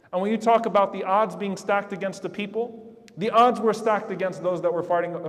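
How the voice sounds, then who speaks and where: This man talks fairly quickly at a high pitch, his pitch varying in an ordinary way, while noticeable background noise carries on behind him. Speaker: Islamic preacher delivering a sermon. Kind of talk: Friday sermon, impassioned public address. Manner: earnest, emotional, urgent.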